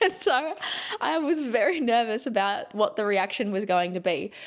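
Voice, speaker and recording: In an Australian accent, a woman speaks at a fairly slow pace with a fairly high pitch, lively intonation and an animated tone, on a very clean recording with a silent background. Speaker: podcast host, former journalist. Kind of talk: casual chat.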